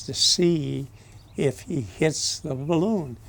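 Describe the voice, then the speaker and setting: A man with an American accent and a fairly high pitch talks with ordinary pitch variation. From Southern California. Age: 90s. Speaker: war veteran. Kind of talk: testimony. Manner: halting.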